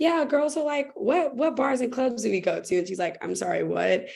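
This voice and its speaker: A woman's voice with an American accent, vocal fry and very wide pitch swings. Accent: American accent when speaking German. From United States. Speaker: teacher abroad, panelist. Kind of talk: panel discussion.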